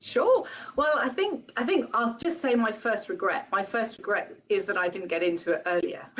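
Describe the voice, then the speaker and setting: In a British accent, a woman with a fairly high pitch talks at a moderate pace, her pitch swinging very widely. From UK. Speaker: real estate branch manager. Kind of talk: webinar interview.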